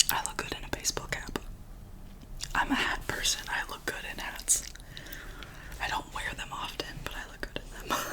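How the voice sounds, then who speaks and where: A woman whispering with long, frequent pauses against noticeable background noise. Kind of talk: ASMR show and tell, soft talk to camera. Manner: whispered, soft-spoken, slow.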